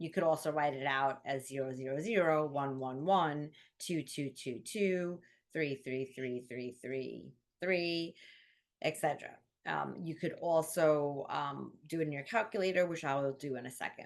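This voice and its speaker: Against a quiet background, a woman speaks at a moderate pace. Her pitch is very deep and low, with ordinary pitch variation. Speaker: math tutor. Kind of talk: tutorial. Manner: casual, filler-heavy.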